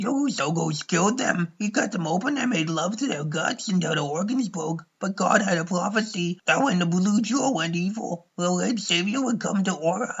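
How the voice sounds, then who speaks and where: Putting on a character voice, a man speaks at a high pitch with lively intonation and a moderate pace. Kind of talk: comic abridged parody. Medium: fan dub. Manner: chatty, irreverent.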